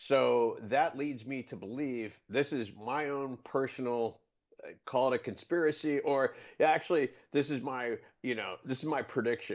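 This man has a medium pitch and ordinary pitch variation. His pace is moderate. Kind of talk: casual chat.

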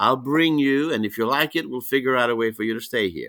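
A man speaks with a Greek accent and ordinary pitch variation in a bright, sharp tone, on a very clean recording with a silent background. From Greece. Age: 60s. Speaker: wrestling promoter and commissioner. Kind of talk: casual interview. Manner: long-winded storyteller; laughs often, warm.

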